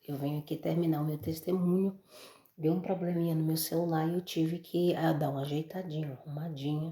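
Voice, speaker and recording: Soft-spoken and somewhat breathy, a woman talks with a very deep, low pitch, a dark, mellow tone and flat, monotone intonation. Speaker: mother giving religious testimony. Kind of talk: testimony.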